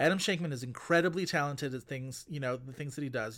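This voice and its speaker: Recorded very cleanly against a silent background, a man with an American accent has an ordinary speaking voice of medium pitch and ordinary pitch variation. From US, Buffalo, New York. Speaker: podcast host, film critic. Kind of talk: casual chat.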